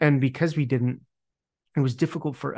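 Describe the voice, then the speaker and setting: A man with an American accent, fairly even intonation and a quiet background. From Utah, US. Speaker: regenerative business community founder. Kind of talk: interview. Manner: halting, many repetitions.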